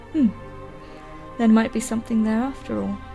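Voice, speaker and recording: A woman talks at a fairly high pitch. Music plays in the background. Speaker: gamer and streamer. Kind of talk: dramatic reading of game lore.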